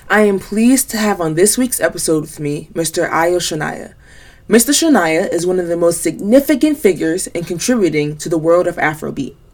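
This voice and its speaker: A woman's normal speaking voice, fairly low in pitch, with an American accent, lively intonation and a fairly quick pace. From US. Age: young. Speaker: podcast host. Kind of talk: podcast intro; interview.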